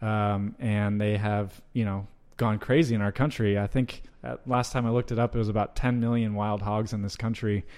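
This is a plain, everyday voice from a man at a fairly low pitch. He keeps a moderate pace and fairly even intonation. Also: very clean recording, silent background. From US South, North Georgia. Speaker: meat company sales director. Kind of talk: interview.

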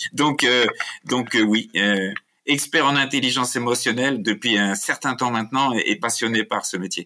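A man's medium-pitched voice, bright and sharp in tone, with ordinary pitch variation. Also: moderate pace. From France. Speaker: emotional intelligence expert and author. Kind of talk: interview conversation.

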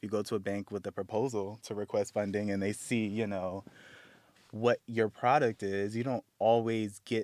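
In a normal speaking voice with an American accent, a man talks at a fairly slow pace, fairly low in pitch, with fairly even intonation. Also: very clean recording, silent background. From United States. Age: 30s. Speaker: underwear brand founder. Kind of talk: casual chat.

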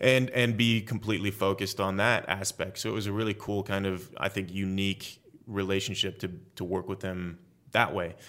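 This very clean recording with a silent background has a man with an American accent talking at a fairly quick pace, his fairly low pitch held in a monotone, flat intonation. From California. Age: 30s. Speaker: actor. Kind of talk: interview.

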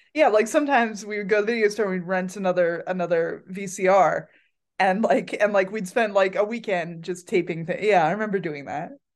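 A woman's plain, everyday voice with an American accent, at medium pitch and a fairly quick pace, with ordinary pitch variation and a quiet background. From Pennsylvania, Pocono Mountains. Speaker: musician. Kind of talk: casual chat.

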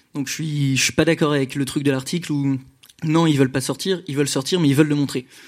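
On a very clean recording with a silent background, a man speaks very fast. His fairly high pitch stays monotone and flat. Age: 20s. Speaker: audience member. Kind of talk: live audience question.

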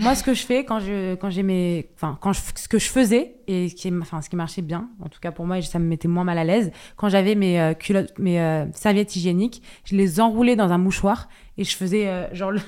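Over a silent background in a very clean recording, a woman speaks at a medium pitch and moderate pace, with a dark, mellow tone and ordinary pitch variation. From France, Paris. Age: 20s. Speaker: content creator. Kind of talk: casual chat.

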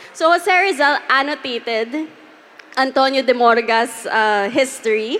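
Over noticeable background noise, a woman with a high pitch speaks at a fairly slow pace with lively intonation. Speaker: podcast host. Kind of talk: live panel storytelling. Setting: stage with audience.

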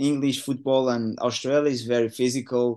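A man talks at a fairly quick pace with a Portuguese accent. The background is quiet. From Portugal. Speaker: professional footballer. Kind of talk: casual interview. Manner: relaxed, hesitant with filler words.

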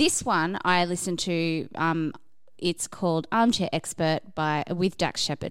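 Recorded very cleanly against a silent background, a woman uses an ordinary speaking voice, fairly low in pitch, with ordinary pitch variation at a fairly slow pace. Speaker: podcast reviewer. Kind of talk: casual chat.

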